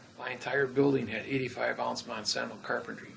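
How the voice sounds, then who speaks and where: Against noticeable background noise, a man talks at a moderate pace in an American accent. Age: 60s. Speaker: self-styled legal and grammar theorist. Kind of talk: interview storytelling. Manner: halting with many fillers.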